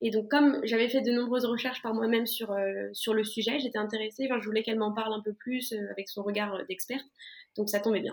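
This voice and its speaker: At a very fast pace, a woman with a fairly high pitch talks in fairly even intonation. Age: 20s. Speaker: patient sharing diet experience. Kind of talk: interview testimony.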